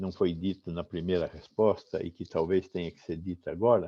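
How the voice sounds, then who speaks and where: A man's very deep, low pitch and dark, mellow tone at a moderate pace. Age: 70s. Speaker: public health professor. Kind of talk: interview answer.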